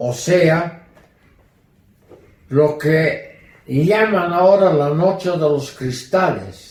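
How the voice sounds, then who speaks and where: With a German accent, a man speaks very slowly at a high pitch, using ordinary pitch variation and long, frequent pauses. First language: German (speaking Spanish). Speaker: Holocaust survivor. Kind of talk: testimony.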